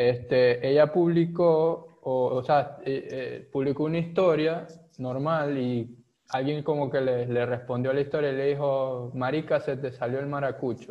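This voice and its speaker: Speaking at a fairly slow pace, the man has a fairly high pitch and fairly even intonation. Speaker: podcast co-host. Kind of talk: casual chat.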